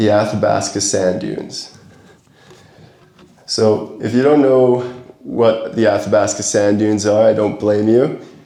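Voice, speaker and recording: A man with a fairly low pitch and a Canadian accent, fairly slow, with long, frequent pauses, audible room echo and noticeable background noise. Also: ordinary pitch variation. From Alberta, Canada. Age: 20s. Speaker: adventure photographer. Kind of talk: presentation to a camera club. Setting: talk to a club audience.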